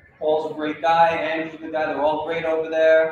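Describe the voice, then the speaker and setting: The voice is monotone and flat at a moderate pace, with strong room echo and light background noise. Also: man. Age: 40s. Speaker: cartoonist and art educator; art educator. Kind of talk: workshop lecture. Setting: library workshop room with audience, livestreamed. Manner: casual with many filler words. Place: hall. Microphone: camera far.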